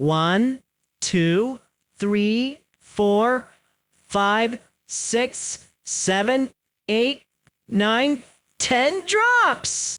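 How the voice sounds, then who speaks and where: A female-sounding put-on character voice, fairly high in pitch, moves at a very slow pace with long, frequent pauses. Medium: read story. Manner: cheerful, upbeat.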